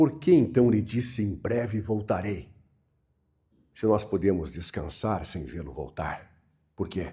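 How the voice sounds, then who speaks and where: Speaking at a fairly slow pace with long, frequent pauses, a man uses a fairly low pitch and a dark, mellow tone, with vocal fry, very wide pitch swings and big swings in loudness. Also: very clean recording, silent background. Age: 80s+. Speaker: pastor. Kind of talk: sermon. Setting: church.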